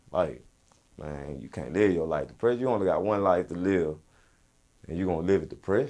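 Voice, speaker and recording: A man with a very deep, low pitch, a dark, mellow tone and vocal fry talks at a fairly quick pace with lively intonation, big swings in loudness and long, frequent pauses. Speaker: rapper. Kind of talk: interview. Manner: casual, loose.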